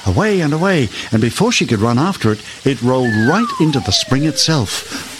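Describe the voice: Someone reads aloud plainly. Nothing more is added to the reading.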